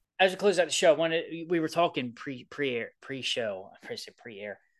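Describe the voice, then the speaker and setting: A man with a strong Baltimore accent talks at a very fast pace, with very wide pitch swings. The background is quiet. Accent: thick Baltimore. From Baltimore, Maryland. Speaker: sports podcast co-host. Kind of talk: casual chat. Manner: animated.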